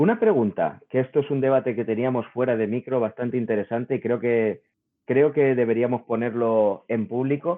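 A man speaks at a moderate pace in an ordinary speaking voice, his medium pitch carried by fairly even intonation. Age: 40s. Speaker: podcast host, game developer. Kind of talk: casual chat.

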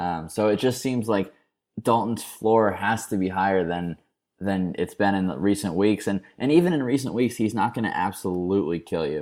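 A man with an ordinary speaking voice talks at a moderate pace and fairly low pitch, with ordinary pitch variation, on a very clean recording with a silent background. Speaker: DFS expert guest. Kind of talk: casual chat.

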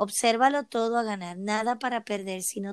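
The recording is very clean, with a silent background and a dry, close sound that has no echo. A woman speaks at a fairly quick pace with fairly even intonation. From Puerto Rico. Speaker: emotional wellbeing coach. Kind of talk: interview.

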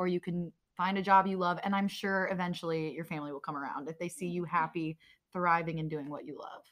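This woman speaks in a fairly low pitch with fairly even intonation, in a plain, everyday voice. The recording is very clean, with a silent background. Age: 20s. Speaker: YouTuber. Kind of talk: casual chat. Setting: live event.

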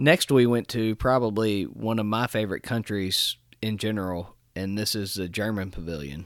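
Delivered in a plain, everyday voice at a moderate pace with ordinary pitch variation and hardly any pauses, the speech sits on a very clean recording with a silent background. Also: man, fairly low pitch for a man. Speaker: podcast host. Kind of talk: casual chat.

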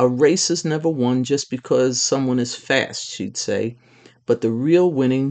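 With ordinary pitch variation, the reading voice comes across as unforced.

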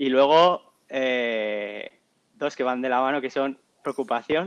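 A man's fairly high voice in a Castilian accent, fairly even in intonation, with a dry, close sound and no echo. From La Rioja, Spain. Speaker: doctoral student in sports science. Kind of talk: interview.

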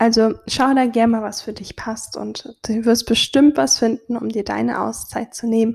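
Using a plain, everyday voice, a woman speaks at a moderate pace with a fairly high pitch. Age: 20s. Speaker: podcast host, photographer and business coach. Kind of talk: solo podcast monologue on self-care.

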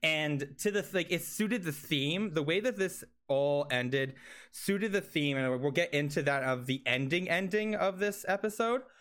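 Fairly high in pitch, a man speaks at a moderate pace in a normal speaking voice. His loudness stays very even. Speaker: podcast host. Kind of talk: casual chat. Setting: remote call.

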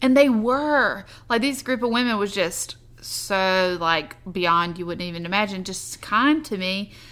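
With a Southern US accent, a woman at medium pitch speaks with lively intonation. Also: fairly slow pace. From US South. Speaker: podcast host, army wife, entrepreneur. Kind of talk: casual chat.

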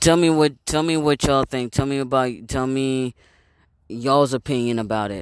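In a normal speaking voice, a man talks at a moderate pace and medium pitch with fairly even intonation, in a dry, close sound with no echo on a very clean recording with a silent background. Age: 30s. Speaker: video blogger. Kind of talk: casual monologue. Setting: outdoors. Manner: rambling with many fillers and repetitions.

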